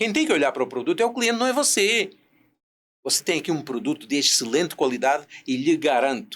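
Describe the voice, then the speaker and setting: The man's pitch is fairly high and swings very widely. He talks at a very fast pace with very even loudness. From Portugal, rural interior. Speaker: business consultant and speaker. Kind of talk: podcast interview.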